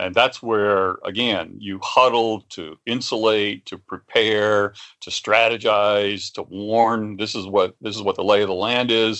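A man with an American accent speaks in a fairly low voice against a quiet background. He leaves hardly any pauses. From West Virginia. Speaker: author and futurist. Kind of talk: interview conversation. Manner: repetitive, halting starts.

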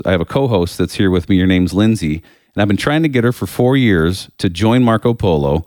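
Lively intonation marks this man's fairly quick delivery. The recording is very clean with a silent background and a dry, close sound with no echo. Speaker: podcast host. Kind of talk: casual chat. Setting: studio.

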